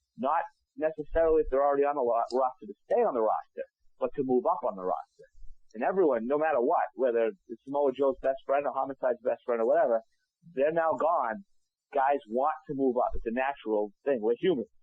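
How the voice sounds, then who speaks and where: A man talks fairly quickly in a normal speaking voice. His pitch is fairly high and his intonation lively. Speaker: wrestling ring announcer. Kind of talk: interview answer.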